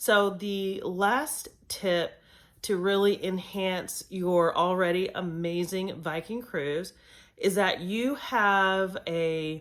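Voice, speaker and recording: In a very clean recording with a silent background, a woman speaks very slowly at a medium pitch with ordinary pitch variation. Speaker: travel vlogger. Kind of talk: casual tips video.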